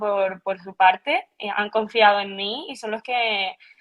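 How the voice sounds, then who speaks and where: A woman speaks with a Canarian accent. Her pace is fairly slow. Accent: Canarian with some La Palma flavour. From Canary Islands, Tenerife. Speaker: physiotherapist. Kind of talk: podcast interview. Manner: halting, frequent repetitions.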